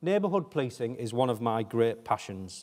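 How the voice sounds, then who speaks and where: Speaking with a northeast England accent, a man moves at a fairly quick pace in a medium pitch. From northeast England (Hartlepool). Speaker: police chief. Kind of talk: keynote speech.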